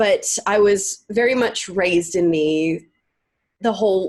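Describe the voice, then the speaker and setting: In an American accent, a woman speaks at a fairly slow pace and medium pitch with ordinary pitch variation. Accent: Southern accent, slips out at times. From US South, rural North Carolina. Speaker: actress, singer and podcaster. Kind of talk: casual interview.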